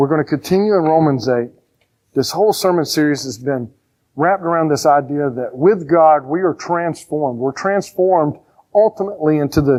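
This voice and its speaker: A man with an American accent speaks at a fairly quick pace, his fairly high pitch showing ordinary variation. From rural Georgia, US South. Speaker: pastor. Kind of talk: sermon. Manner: animated, conversational.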